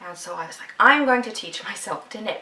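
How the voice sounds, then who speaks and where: Noticeable background noise accompanies a woman speaking with a Canadian Prairies accent. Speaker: podcast host, knitter. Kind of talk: casual video podcast monologue. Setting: at home, video podcast.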